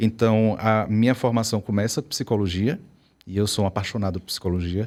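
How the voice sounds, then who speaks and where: A man with a strong Bahian accent talks very fast in a fairly low pitch, his intonation fairly even and his tone dark and mellow, on a very clean recording with a silent background. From Brazil, Bahia. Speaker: psychologist and professor. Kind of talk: interview.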